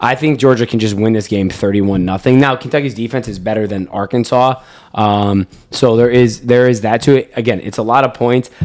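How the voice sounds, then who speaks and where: A man with an American accent talks at a fairly quick pace and a medium pitch, with fairly even intonation. His is an ordinary speaking voice. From North Carolina. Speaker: sports betting podcast host. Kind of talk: casual chat.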